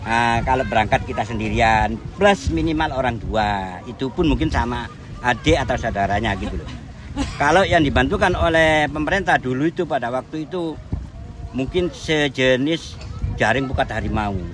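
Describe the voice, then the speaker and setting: A medium-pitched male voice at a moderate pace, with very wide pitch swings and noticeable background noise. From Surabaya, East Java, Indonesia. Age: 60s. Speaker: fisherman. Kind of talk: interview.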